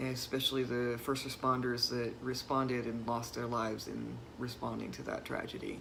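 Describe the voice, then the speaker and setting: Moderate-paced speech in an American accent, noticeable background noise behind it. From US South. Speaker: vlogger. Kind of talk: personal vlog monologue. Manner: hesitant, many fillers.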